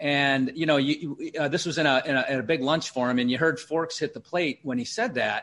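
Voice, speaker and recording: A man with a plain, everyday voice, fairly high in pitch, ordinary pitch variation, over a quiet background. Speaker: podcast host and business owner. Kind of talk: interview.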